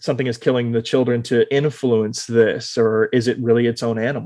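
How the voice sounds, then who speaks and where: A man with an American accent has an ordinary speaking voice at a medium pitch. He talks at a moderate pace against a quiet background. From Texas (Austin). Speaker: podcast host. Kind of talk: casual interview.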